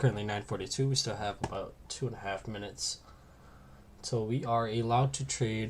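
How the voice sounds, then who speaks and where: Quiet and somewhat breathy, a man at a medium pitch speaks at a fairly quick pace with fairly even intonation. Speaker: day trader streaming live trades. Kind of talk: live trading commentary.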